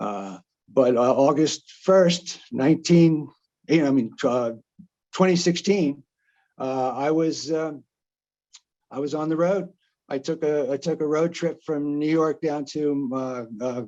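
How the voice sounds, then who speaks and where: A man with a New Jersey accent, fairly high-pitched yet dark and mellow in tone, with ordinary pitch variation, a very slow pace and long, frequent pauses. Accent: New Jersey American. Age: 70s. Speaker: retired journalist and traveler. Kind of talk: presentation. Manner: halting, many fillers and restarts.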